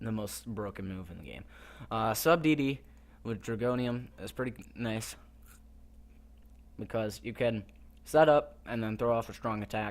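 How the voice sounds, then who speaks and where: Delivered at a moderate pace, the speech has long, frequent pauses, big swings in loudness and ordinary pitch variation. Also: man, medium pitch for a man. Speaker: gaming YouTuber. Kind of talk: gameplay commentary.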